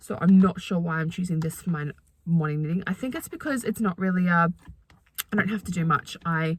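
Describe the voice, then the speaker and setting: At a fairly low pitch, a woman speaks fairly quickly and somewhat breathily, with ordinary pitch variation. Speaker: knitting vlogger. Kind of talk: casual chat. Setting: in a car. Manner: fast.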